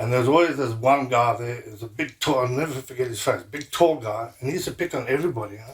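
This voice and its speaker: Delivery is very fast and somewhat breathy, with ordinary pitch variation. Loudness swings a lot from moment to moment. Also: man, medium pitch for a man. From South Africa, Durban. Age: 60s. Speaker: martial arts instructor. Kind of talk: interview.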